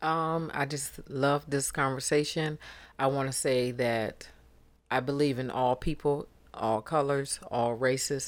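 On a very clean recording with a silent background, a woman with a very deep, low pitch speaks at a fairly slow pace in a monotone, flat intonation. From Detroit, Michigan. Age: 50s. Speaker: podcast co-host, mother. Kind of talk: casual chat.

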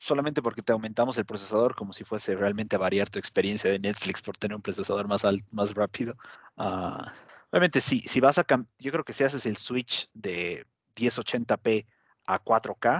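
The delivery runs at a moderate pace with ordinary pitch variation. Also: man. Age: adult. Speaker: podcast co-host. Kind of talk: casual chat. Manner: halting.

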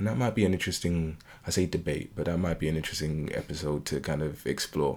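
On a very clean recording with a silent background, a man with a British accent speaks very fast at a very deep, low pitch with ordinary pitch variation. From UK, Caribbean family. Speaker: podcast co-host. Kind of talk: casual chat.

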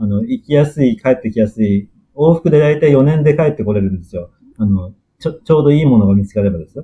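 At a very fast pace, a man with a medium pitch and a dark, mellow tone speaks somewhat breathily, with very wide pitch swings and big swings in loudness. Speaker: planetary scientist. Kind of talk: interview. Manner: halting, many fillers.

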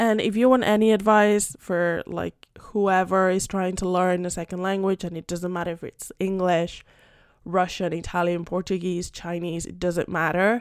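A woman speaks at a moderate pace and medium pitch, in a monotone, flat intonation. Her loudness swings widely, and the recording is very clean with a silent background. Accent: Spanish. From Spain, Madrid. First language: Spanish. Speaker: podcast host. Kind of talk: casual chat.

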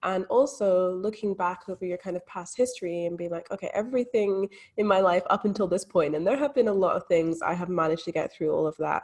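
Hardly pausing at all, a woman races along at a very fast pace with ordinary pitch variation. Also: medium pitch for a woman. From Scotland. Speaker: mindset coach. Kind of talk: interview.

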